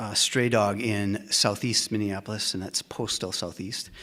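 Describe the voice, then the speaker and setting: The speaker is a man with a fairly low voice. He keeps a moderate pace in a flat, monotone delivery. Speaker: meeting host for a humanist group. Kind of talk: event announcements. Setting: meeting room with live audience. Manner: many filler words.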